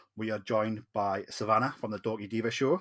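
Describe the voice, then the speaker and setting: Fairly quick, fairly low-pitched speech from a man with a Geordie accent, in a very clean recording with a silent background. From northern England, Newcastle. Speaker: podcast host. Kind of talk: casual podcast chat. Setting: recording in Newcastle.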